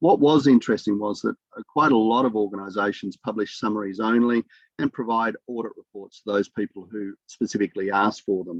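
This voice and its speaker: Here a man talks at a fairly quick pace with an Australian accent. His pitch is fairly low with ordinary pitch variation. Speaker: academic researcher. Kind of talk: conference presentation. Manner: fast.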